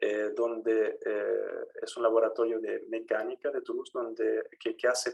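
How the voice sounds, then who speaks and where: A man talks at a moderate pace. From Chile, raised abroad from childhood. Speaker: engineering professor. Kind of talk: academic seminar talk. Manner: halting, many fillers.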